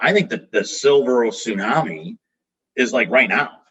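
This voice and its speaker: Vocal fry in a man's fairly high voice, with very wide pitch swings at a moderate pace. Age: 30s. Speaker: business owner, company president. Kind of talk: podcast interview.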